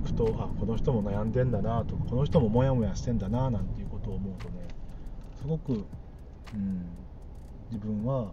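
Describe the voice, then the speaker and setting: Over noticeable background noise and audible room echo, a man speaks at a fairly quick pace with long, frequent pauses. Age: 40s. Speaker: podcaster. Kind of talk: casual solo monologue. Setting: in a car. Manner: halting, many fillers.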